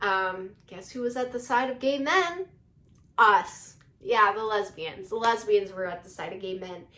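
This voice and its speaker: Her voice is fairly high, bright and sharp, with an animated tone and lively intonation. The woman speaks at a fairly slow pace, her loudness swinging widely. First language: not English. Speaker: YouTuber. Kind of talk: casual commentary monologue. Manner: halting, many fillers.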